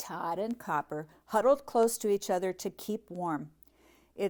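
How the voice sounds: A natural reading voice carries the clip. Pitch moves in an ordinary way.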